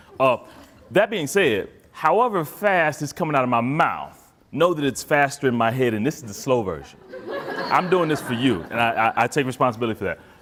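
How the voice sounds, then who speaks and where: A man speaks at a fairly high pitch and a fairly quick pace with lively intonation. Noticeable background noise is present. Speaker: therapist and conference speaker. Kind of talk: conference talk.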